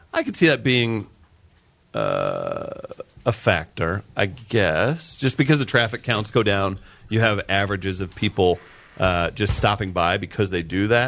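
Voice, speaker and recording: A man's fairly low voice with an American accent, fairly slow in pace with long, frequent pauses and ordinary pitch variation. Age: 30s. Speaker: radio host. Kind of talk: morning radio banter. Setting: radio studio. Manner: animated.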